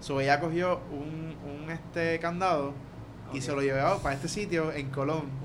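A man with a Puerto Rican accent talks at a moderate pace in a fairly high pitch. Noticeable background noise and audible room echo are present. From Puerto Rico, Guaynabo. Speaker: podcast guest, traveler. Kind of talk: casual chat, travel stories. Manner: animated.

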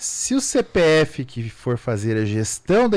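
The man's pitch sits in the medium range. It swings very widely as he talks. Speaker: lawyer and entrepreneur. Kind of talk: radio interview. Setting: radio studio.

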